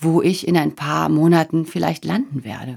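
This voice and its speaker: Speaking at a fairly slow pace, a woman uses a fairly low-pitched voice marked by vocal fry. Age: 40s. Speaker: podcast host, change coach. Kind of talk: monologue podcast, motivational talk.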